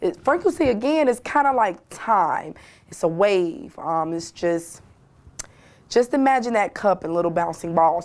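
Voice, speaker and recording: Here is a woman with an unremarkable speaking voice. She goes at a fairly slow pace with lively intonation. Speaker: school teacher, motivational guide. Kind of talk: motivational classroom lesson. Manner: friendly, encouraging, explanatory.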